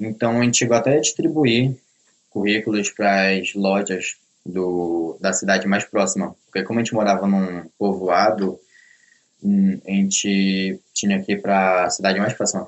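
An ordinary speaking voice from a man, fairly low in pitch, at a moderate pace with fairly even intonation. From Belém do Pará, northern Brazil. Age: young. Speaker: self-taught programmer. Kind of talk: interview.

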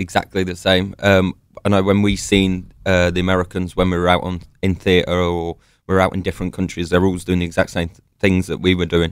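Speaking at a fairly quick pace in a London accent, a man's very deep, low pitch stays monotone and flat in a very clean recording with a silent background. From London, England. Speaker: army veteran. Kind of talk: interview.

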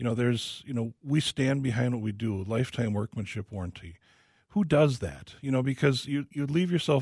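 The sound is dry and close with no echo, on a very clean recording with a silent background. A man, somewhat breathy, speaks at a moderate pace and medium pitch with ordinary pitch variation. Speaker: home remodeling specialist. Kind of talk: casual radio Q&A. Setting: studio.

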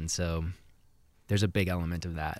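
A very deep, low male voice with an American accent, fairly quick and monotone with flat intonation, in a very clean recording with a silent background. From Seattle, US Pacific Northwest. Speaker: musician. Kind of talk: interview.

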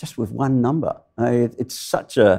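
With an Australian accent, a man speaks at a medium pitch in a dark, mellow tone with lively intonation. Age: 70s. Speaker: climatologist. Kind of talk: live interview. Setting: stage with audience.

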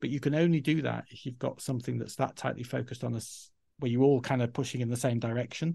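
Very fast speech with a dark, mellow tone and a somewhat breathy quality. The background is quiet. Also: man, medium pitch for a man, fairly even intonation. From Yorkshire, northern England. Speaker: learning and development head. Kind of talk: interview conversation.

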